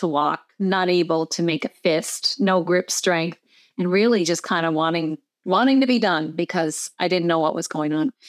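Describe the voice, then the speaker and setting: At a moderate pace, the speech comes through a very clean recording with a silent background and a dry, close sound with no echo. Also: woman. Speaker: wellness coach and former engineer. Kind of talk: casual interview chat. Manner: calm, gentle.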